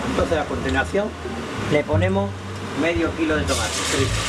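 A man at a fairly quick pace, broken by long, frequent pauses, over loud background noise. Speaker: retired hospitality cook. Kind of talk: cooking tutorial. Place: kitchen.

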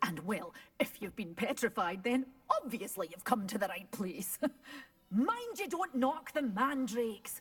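With a Scottish accent, a woman speaks with lively intonation. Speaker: shopkeeper character in a video game. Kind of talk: scripted character dialogue.

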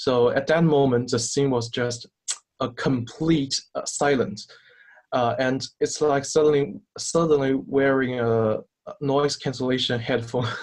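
A man with a Chinese accent, medium pitch, fairly even intonation and a fairly slow pace, against a quiet background. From China. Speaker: student team captain. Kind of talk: interview. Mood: recounting a memorable event. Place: home room. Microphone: video call.

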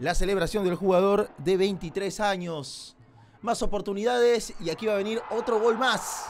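This man speaks at a high pitch with ordinary pitch variation. His pace is fairly slow. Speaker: football commentator. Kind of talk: highlights voiceover sports commentary.

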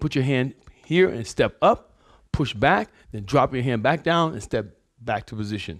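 A man's fairly quick speech over a quiet background. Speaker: fitness instructor. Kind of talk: tutorial. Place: gym. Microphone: lapel.

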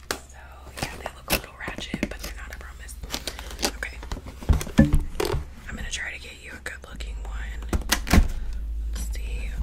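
A woman whispering at a fairly slow pace, with big swings in loudness and long, frequent pauses. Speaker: ASMR creator. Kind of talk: ASMR roleplay with close-up personal attention. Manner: whispered, soft, friendly. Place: home room. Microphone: studio mic.

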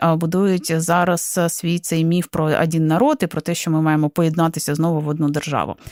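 Fairly low in pitch, a woman speaks at a moderate pace in a flat monotone, the sound dry and close with no echo. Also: hardly any pauses. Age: 30s. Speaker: radio host. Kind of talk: radio talk show.

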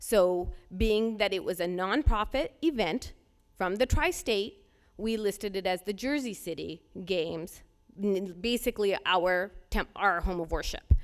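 An ordinary speaking voice from a woman, medium in pitch, fairly slow, with ordinary pitch variation on a very clean recording with a silent background. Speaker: resident speaking at public comment. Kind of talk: public comment at board meeting. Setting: public board meeting.

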